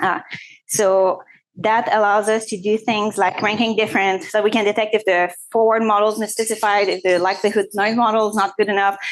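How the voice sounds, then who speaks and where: At a fairly quick pace, a woman with a fairly high pitch speaks in a monotone, flat intonation at very even loudness. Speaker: physics professor and researcher. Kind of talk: conference talk. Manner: fast; casual, filler-heavy (uh, like).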